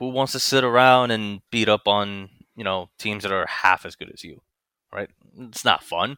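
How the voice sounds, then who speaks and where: A man with a fairly low, bright, sharp voice speaks at a moderate pace with fairly even intonation and big swings in loudness, in a dry, close sound with no echo. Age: 30s. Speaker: gaming clan leader. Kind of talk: casual chat. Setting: video call.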